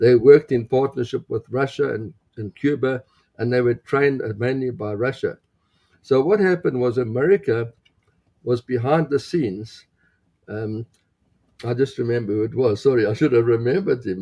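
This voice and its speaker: Dry and close with no echo, the voice has a dark, mellow tone and sounds somewhat breathy. It moves at a moderate pace with ordinary pitch variation and long, frequent pauses. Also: man, medium pitch for a man. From South Africa (Johannesburg). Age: 70s. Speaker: pastor. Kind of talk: interview. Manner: halting.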